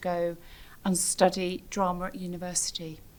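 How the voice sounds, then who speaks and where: The delivery is fairly slow. It comes with a British accent. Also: woman. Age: 60s. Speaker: theatre producer. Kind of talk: personal testimony. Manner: reflective, with frequent hesitations.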